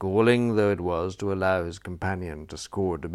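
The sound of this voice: The reading voice here is unforced.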